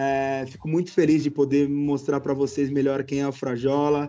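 Over music in the background, a man talks at a moderate pace with a fairly high pitch. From Brazil, São Paulo. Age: 20s. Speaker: YouTube football goalkeeper. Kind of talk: casual chat.

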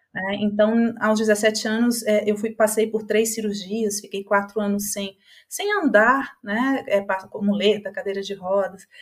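A somewhat breathy voice moves at a fairly slow pace in monotone, flat intonation. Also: woman, fairly high pitch for a woman, hardly any pauses. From Brazil. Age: 50s. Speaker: psychologist and holistic therapist. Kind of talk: podcast interview.

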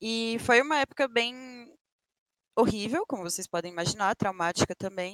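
Speaking in a plain, everyday voice, a woman moves at a moderate pace with lively intonation, the sound dry and close with no echo. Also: fairly high pitch for a woman. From Brasília, Brazil. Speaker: Apex Legends streamer. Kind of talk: casual interview. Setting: live stream.

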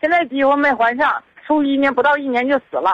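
A woman speaks in a high voice. Her tone is bright and sharp. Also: dry, close sound with no echo. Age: 50s. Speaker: caller asking for help. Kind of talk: phone-in plea. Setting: phone call. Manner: halting, rambling.

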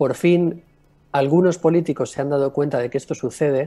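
Music plays in the background as a man talks. His pace is moderate and his pitch variation ordinary. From Mallorca, Spain. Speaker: music producer and concert promoter. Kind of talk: remote interview.

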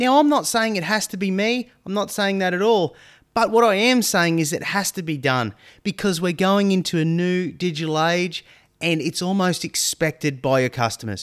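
A man with an Australian accent talks at a moderate pace, his high-pitched voice lively in intonation. The recording is very clean with a silent background, dry and close with no echo. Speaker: marketing podcast host. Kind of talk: solo podcast monologue.

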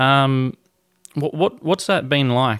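With an Australian accent, a man speaks at a medium pitch. His delivery is fairly slow. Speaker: sports podcast host. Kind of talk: casual interview.

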